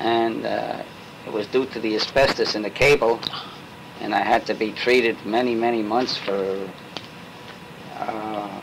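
Over noticeable background noise, a man talks at a fairly slow pace in a flat monotone, with long, frequent pauses. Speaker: interviewee. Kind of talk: interview answer. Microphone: old recording.

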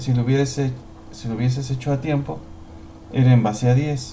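A man's medium-pitched, somewhat breathy voice, dark and mellow in tone, with fairly even intonation and audible room echo. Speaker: teacher. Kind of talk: tutorial. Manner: halting.

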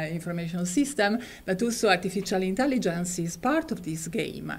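Lively intonation marks a woman's somewhat breathy delivery. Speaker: seminar moderator. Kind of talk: formal introduction. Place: hall. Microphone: podium.

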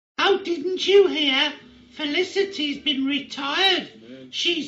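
In a put-on character voice, a female-sounding speaker talks at a high pitch and a fairly slow pace. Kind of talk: comic overacting. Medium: comedy sketch. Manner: gushing, coy, flirtatious.

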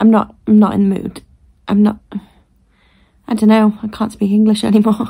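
In a tired tone, a woman speaks at a moderate pace with a dark, mellow, somewhat breathy voice and monotone, flat intonation. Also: quiet background. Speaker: vlogger. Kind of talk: casual vlog chat. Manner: sleepy, slow, flat tired voice. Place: home room. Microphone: phone near.

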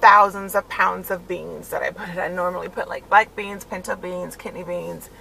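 A woman speaks at a moderate pace over light background noise, the sound dry with no echo. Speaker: stay-at-home mom vlogger. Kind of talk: casual vlog chat. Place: car. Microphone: phone near.

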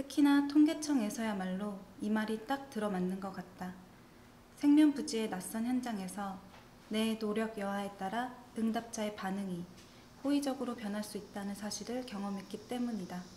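In a room with audible echo and light background noise, a woman speaks at a moderate pace in a fairly high voice with ordinary pitch variation. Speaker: government statistics office ASMR reader. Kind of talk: ASMR reading of a statistics survey essay. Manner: soft-spoken, whispery, relaxing. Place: home room.

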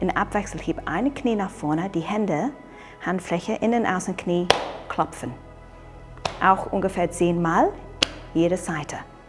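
A woman's calm, medium-pitched voice at a fairly slow pace, ordinary pitch variation, long and frequent pauses, clear music in the background. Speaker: qigong instructor. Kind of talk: exercise tutorial instruction. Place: open country. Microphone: lapel.

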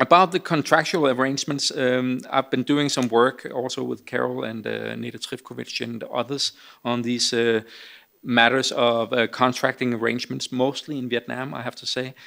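A man with a bright, sharp tone at a moderate pace, fairly even in intonation, against a quiet background. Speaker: speaker. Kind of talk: Q&A answer at a conference. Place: hall. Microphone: podium.

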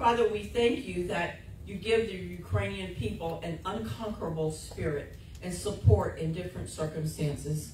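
With very wide pitch swings, a woman speaks at a moderate pace and a very deep, low pitch, in audible room echo. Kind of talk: read intercessory prayer. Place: church.

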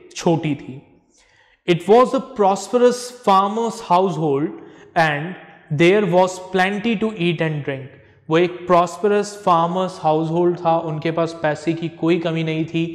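A man talks at a very slow pace in a high pitch. His pitch varies in an ordinary way. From India. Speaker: English teacher. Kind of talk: lecture. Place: classroom.

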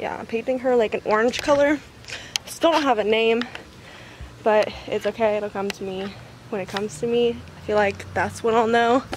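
Over noticeable background noise and in dry sound with no echo, a woman speaks at a moderate pace with long, frequent pauses, big swings in loudness and ordinary pitch variation. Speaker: vlogger. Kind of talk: casual vlog chat. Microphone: phone near.

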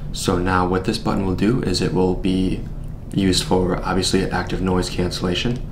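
Over noticeable background noise, a man speaks at a very deep, low pitch. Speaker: presenter. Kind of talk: product demo tutorial. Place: studio.

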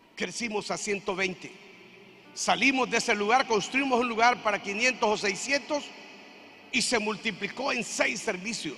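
A man speaks at a moderate pace in a raised, projected voice with an animated tone and a high pitch. His pitch varies an ordinary amount, and faint music plays in the background. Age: 60s. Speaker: pastor. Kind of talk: sermon. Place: church. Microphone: handheld.

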